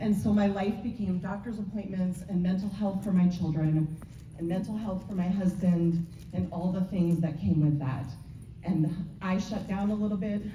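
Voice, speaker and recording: A woman with a medium pitch speaks at a moderate pace. Room echo is audible, and there is noticeable background noise. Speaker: direct sales consultant, motivational speaker. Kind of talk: motivational talk. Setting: stage with audience.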